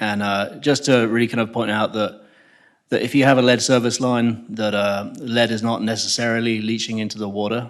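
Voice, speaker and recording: Moderate pace, monotone, flat intonation and an English accent. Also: man. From England. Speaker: civil engineer presenting a project. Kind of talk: public meeting presentation. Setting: public meeting room with audience.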